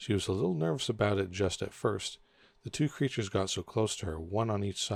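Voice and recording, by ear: This is reading aloud in a natural voice. The pitch variation is ordinary.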